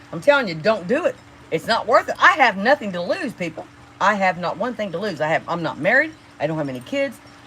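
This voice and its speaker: A woman talks at a fairly quick pace in an animated tone, with very wide pitch swings. Her loudness swings a lot over noticeable background noise. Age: 60s. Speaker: livestreamer. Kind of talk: casual livestream rant. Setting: live stream.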